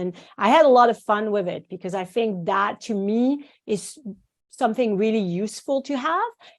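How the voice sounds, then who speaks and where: The background is quiet as a woman talks at a moderate pace, her pitch medium. She speaks in a French accent. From France, small village. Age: 50s. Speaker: acupuncturist and teacher. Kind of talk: podcast interview. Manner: animated.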